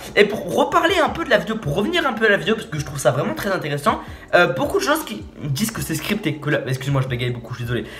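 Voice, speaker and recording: A man talks at a very fast pace with a high pitch. His pitch swings very widely over noticeable background noise. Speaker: youtuber reacting to a video. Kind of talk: casual video commentary. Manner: stammering, halting; informal, animated.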